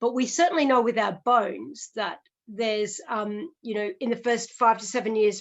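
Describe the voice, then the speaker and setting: A woman with an Australian accent, fairly high in pitch, fairly quick in pace, with fairly even intonation. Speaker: physiotherapist. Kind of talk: podcast interview. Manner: explanatory, conversational with fillers.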